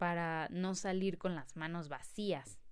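In a Mexican accent, a woman of medium pitch speaks at a very slow pace. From Mexico City. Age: 20s. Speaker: podcast host. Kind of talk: casual monologue.

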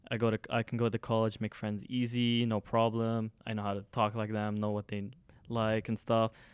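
A man with an American accent talks at a moderate pace and a medium pitch. The recording is very clean, with a silent background and a dry, close sound with no echo. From Lebanon. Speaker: college student and summer teaching intern. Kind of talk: casual chat. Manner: animated.

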